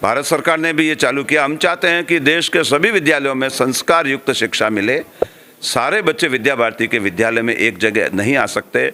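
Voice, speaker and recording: Noticeable background noise sits behind a man talking at a moderate pace in a fairly high pitch. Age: 60s. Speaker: education organization official. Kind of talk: interview.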